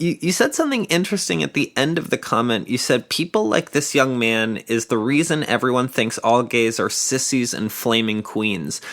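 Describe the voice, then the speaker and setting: The speech has hardly any pauses and a moderate pace. Noticeable background noise runs underneath. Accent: American. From northern US. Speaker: podcast host. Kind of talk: interview.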